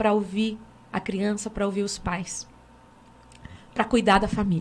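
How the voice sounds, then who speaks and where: A woman talks at a moderate pace. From Brazil, Francisco Beltrão, Paraná. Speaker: pastor. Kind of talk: panel discussion. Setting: studio.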